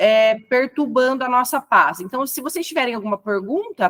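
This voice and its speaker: Here is a woman with a high pitch and ordinary pitch variation. She talks at a moderate pace. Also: dry, close sound with no echo. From Brazil. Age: 30s. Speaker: educator. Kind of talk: lecture.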